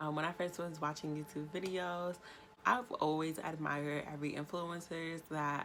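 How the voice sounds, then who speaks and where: In a New York accent, a woman with a very deep, low pitch speaks at a moderate pace with an animated tone. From New York State. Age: 20s. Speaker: YouTuber. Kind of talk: vlog monologue.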